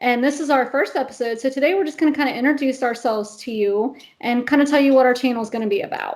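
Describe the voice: The voice has an American accent. Its pitch varies in an ordinary way. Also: woman.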